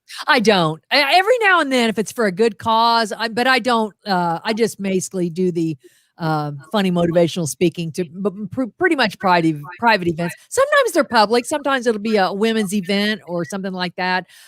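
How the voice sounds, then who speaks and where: A woman talks at a fairly quick pace and medium pitch, her intonation lively and the sound dry and close with no echo. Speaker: motivational speaker. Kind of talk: casual chat. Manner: fast.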